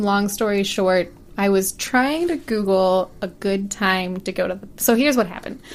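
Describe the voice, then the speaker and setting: With a normal speaking voice, a woman talks at a fairly slow pace and medium pitch with lively intonation. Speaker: podcast host. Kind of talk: casual podcast conversation, film recap.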